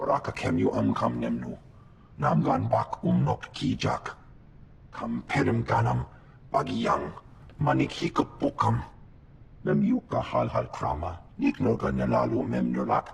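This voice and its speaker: A man uses a put-on character voice, raspy and very deep and low, at a moderate pace. Long, frequent pauses break it up over clear background noise. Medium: video game. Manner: speaks only an alien language.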